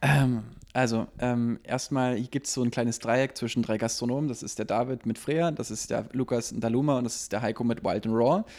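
At a fairly quick pace, a man speaks in an unremarkable speaking voice, with medium pitch and fairly even intonation. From Berlin (Lichtenberg). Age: 30s. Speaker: restaurant owner. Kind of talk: casual chat.

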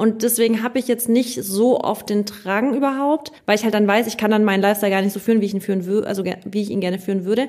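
Ordinary pitch variation carries through speech delivered very fast. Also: woman. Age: 30s. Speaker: influencer and former competitive dancer. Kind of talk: casual podcast interview.

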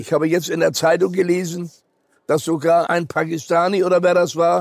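A high-pitched man at a moderate pace. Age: 90s. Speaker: Holocaust survivor and educator. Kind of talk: interview.

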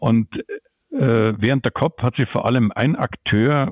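The speaker is a man with ordinary pitch variation. He goes at a fairly slow pace. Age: 60s. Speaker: climate economist, professor. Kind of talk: interview. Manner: hesitant with fillers.

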